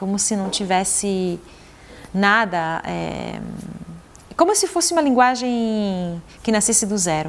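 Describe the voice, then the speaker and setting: The speaker is a woman. Her intonation is lively. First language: Italian (speaking Portuguese). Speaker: poet and translator. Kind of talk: interview. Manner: halting, with repetitions.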